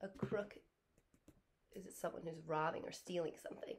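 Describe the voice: A woman talks at a moderate pace in a low-pitched voice. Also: fairly even intonation.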